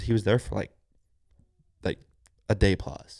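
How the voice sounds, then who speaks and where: Against quiet surroundings, a man is talking. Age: 20s. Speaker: stepfather and refinery worker; podcast guest. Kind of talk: casual chat. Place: home room. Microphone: handheld.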